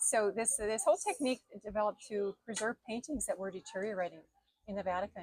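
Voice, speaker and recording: A woman talks at a very fast pace in a Minnesotan accent, her pitch fairly high. Her pitch variation is ordinary, and the sound is dry and close with no echo. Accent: Minnesota. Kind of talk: interview about her craft. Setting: outdoor festival booth. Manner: hesitant, many fillers.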